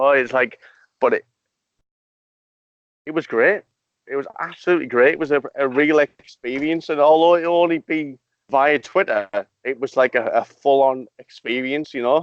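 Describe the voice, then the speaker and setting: A man with a Middlesbrough accent, fairly high pitch and ordinary pitch variation, at a moderate pace with long, frequent pauses, in a dry, close sound with no echo. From northeast England, Middlesbrough. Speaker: podcast host. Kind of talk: casual chat.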